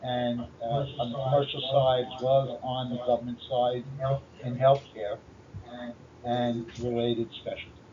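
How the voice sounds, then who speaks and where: A man with a Brooklyn accent speaks at a medium pitch and moderate pace, somewhat breathy. His intonation is monotone, flat, with long, frequent pauses. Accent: Brooklyn New York. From New York City, Brooklyn. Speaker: channel co-host, consultant. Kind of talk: self-introduction in a podcast.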